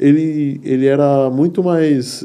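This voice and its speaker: Fairly even intonation and a dark, mellow tone. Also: man. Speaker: podcast host. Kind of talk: casual chat. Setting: studio.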